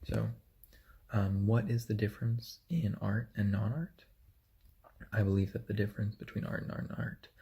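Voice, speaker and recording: Soft-spoken, this voice moves along at a moderate pace. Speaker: university student. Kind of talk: reading aloud. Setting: hotel room.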